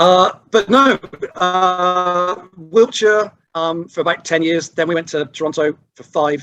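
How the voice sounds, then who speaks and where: Ordinary pitch variation and big swings in loudness at a very slow pace, with music in the background. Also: man, high pitch for a man. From Bristol, England. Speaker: podcast guest, baseball fan. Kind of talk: casual chat.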